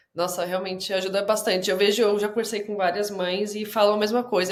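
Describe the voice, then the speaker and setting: With audible room echo, a woman talks at medium pitch and a moderate pace. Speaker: podcast host. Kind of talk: interview conversation.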